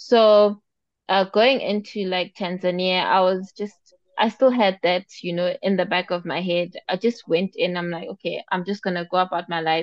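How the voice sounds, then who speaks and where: Fairly even in intonation, an unremarkable speaking voice proceeds at a moderate pace. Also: woman, medium pitch for a woman. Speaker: podcast co-host. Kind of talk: casual chat.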